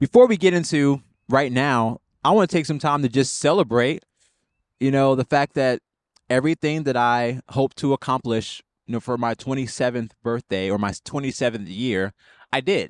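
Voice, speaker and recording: A man speaks in a normal speaking voice at a medium pitch. The sound is dry and close with no echo, and the background is quiet. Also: ordinary pitch variation, moderate pace. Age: 20s. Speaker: vlogger and spiritual director in training. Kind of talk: casual reflective vlog. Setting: outdoors at a park. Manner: casual with many fillers and restarts.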